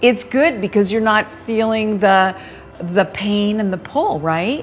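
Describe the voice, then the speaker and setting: Against noticeable background noise, a woman speaks at a very slow pace in a fairly high voice with ordinary pitch variation. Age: 60s. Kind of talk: casual chat.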